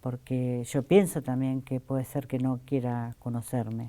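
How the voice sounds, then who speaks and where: A woman's very deep, low voice with a dark, mellow tone, at a fairly slow pace, on a very clean recording with a silent background. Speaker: interviewee searching for biological relative. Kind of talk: testimony. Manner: halting.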